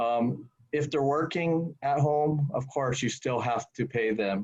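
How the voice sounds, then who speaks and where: In a plain, everyday voice, a man talks at a fairly slow pace and fairly high pitch with ordinary pitch variation. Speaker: employment lawyer. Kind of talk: webinar presentation.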